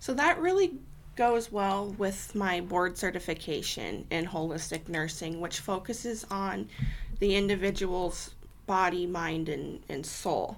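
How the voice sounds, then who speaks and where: With an American accent, a woman speaks at a fairly slow pace with ordinary pitch variation. Room echo is audible. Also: medium pitch for a woman. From Iowa, US Midwest (Sioux City). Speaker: nurse and volunteer. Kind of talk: interview. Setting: online call.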